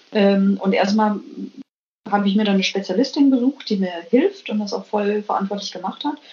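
A woman's voice is somewhat breathy, and her pitch varies in an ordinary way. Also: medium pitch for a woman, moderate pace. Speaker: biologist and business manager. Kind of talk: interview. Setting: remote call from Copenhagen. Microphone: weak connection signal.

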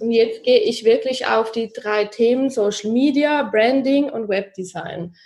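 At a fairly slow pace, a woman talks with a fairly high pitch, ordinary pitch variation and a slight Swiss German accent. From Switzerland, Zurich. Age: 30s. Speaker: social media marketing consultant. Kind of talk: podcast interview.

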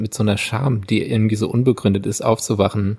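This man has a dark, mellow tone. His pitch is fairly low. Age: 30s. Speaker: podcast co-host. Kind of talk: casual chat.

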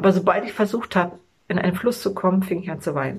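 Her voice is somewhat breathy. This woman talks at a fairly quick pace. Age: 40s. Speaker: fitness vlogger and mother. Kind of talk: personal video monologue.

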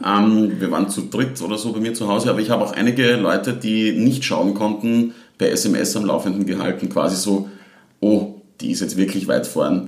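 With a slight Styrian accent, a man speaks at a moderate pace and fairly even intonation. Audible room echo surrounds his voice. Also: fairly low pitch for a man. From Austria, southern Styria (Leibnitz district). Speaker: Eurovision fan club event organiser. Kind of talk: casual chat.

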